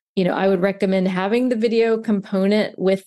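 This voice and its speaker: A woman with an American accent, dark and mellow in tone, at medium pitch and a fairly quick pace, her intonation fairly even over a quiet background. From US South, Mobile, Alabama. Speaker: realtor, relocation specialist. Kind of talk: interview conversation.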